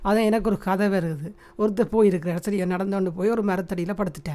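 The tone is dark and mellow, heard on a very clean recording with a silent background. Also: woman. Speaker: podcast co-host, mother. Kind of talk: casual chat.

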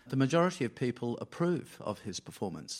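A man with an Australian accent talks at a moderate pace with ordinary pitch variation. The recording is very clean, with a silent background. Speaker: diplomat and former foreign minister. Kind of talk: panel discussion. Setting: stage with live audience.

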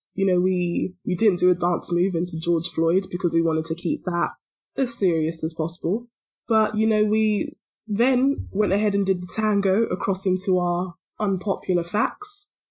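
A woman speaks in a London accent and sounds somewhat breathy. Her pitch varies in an ordinary way. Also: medium pitch for a woman, moderate pace. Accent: British, London. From London, England. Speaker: podcast co-host. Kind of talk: casual chat.

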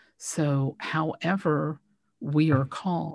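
Over a silent background in a very clean recording, a woman speaks with a very deep, low pitch and fairly even intonation. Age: around 60. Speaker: sound therapist and healing minister. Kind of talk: casual interview chat.

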